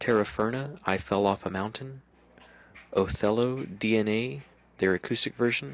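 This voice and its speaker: A man speaks quietly. His pitch is medium. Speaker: local music radio host. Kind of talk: casual podcast talk. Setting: home at night.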